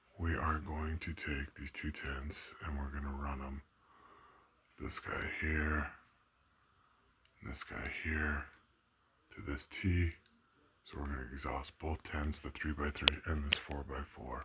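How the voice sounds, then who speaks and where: Quiet and fairly slow, a man speaks with a very deep, low pitch, vocal fry, a bright, sharp tone, monotone, flat intonation, and long, frequent pauses. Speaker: home grower vlogger. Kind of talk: casual tutorial vlog. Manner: speaking under breath, quiet.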